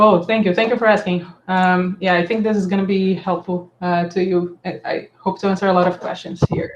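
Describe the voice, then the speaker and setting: A woman's medium-pitched voice, monotone and flat, with hardly any pauses. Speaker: software developer leading community meeting. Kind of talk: online meeting presentation. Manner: fast.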